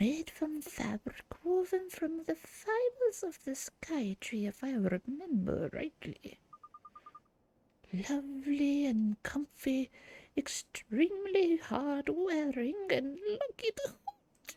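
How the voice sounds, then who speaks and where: In a put-on character voice, the speaker uses a high pitch and a very slow pace. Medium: game stream. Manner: warm, chatty, grandmotherly.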